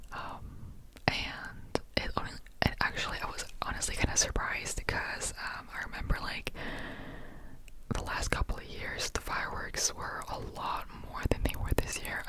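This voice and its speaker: Whispering at a moderate pace in a relaxed tone, a woman shows big swings in loudness over noticeable background noise. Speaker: ASMR content creator. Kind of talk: whisper ramble ASMR, casual talk to camera. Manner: whispered, relaxed, rambling.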